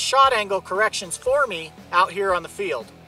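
A man's raised, projected voice at a moderate pace, with a dry, echo-free sound and faint music in the background. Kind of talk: product demonstration talk. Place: open country.

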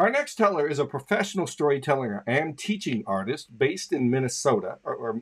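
A man's pitch leaps very widely as he talks at a moderate pace over a quiet background. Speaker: show host. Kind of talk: host introduction. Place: home room. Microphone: studio mic.

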